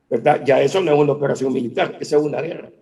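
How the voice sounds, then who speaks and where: Delivered at a fairly quick pace, the speech has a dark, mellow tone. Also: man. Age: 60s. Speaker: economist. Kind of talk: interview. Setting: video call.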